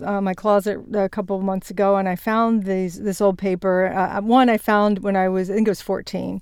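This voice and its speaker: Recorded very cleanly against a silent background, a woman talks at a fairly quick pace in a medium pitch, with a normal speaking voice. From Virginia, US South (Shenandoah Valley). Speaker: business executive and author. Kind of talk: interview.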